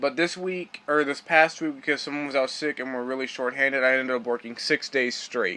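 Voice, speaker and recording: Noticeable background noise sits under a man's fairly high voice. He speaks at a moderate pace with fairly even intonation. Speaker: vlogger. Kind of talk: casual vlog monologue.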